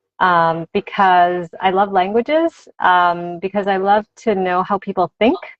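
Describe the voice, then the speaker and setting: Her pitch medium, a woman talks at a fairly slow pace. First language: Spanish. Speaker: author and language teacher. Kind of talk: interview. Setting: video call.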